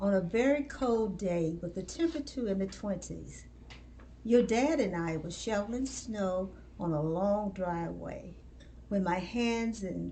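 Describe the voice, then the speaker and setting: A woman at a medium pitch, fairly slow, with lively intonation amid noticeable background noise and audible room echo. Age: 70s. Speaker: retiree and lupus patient. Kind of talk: personal testimony.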